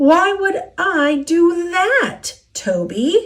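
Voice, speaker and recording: A woman puts on a squeaky character voice at an extremely high pitch with lively intonation. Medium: read story.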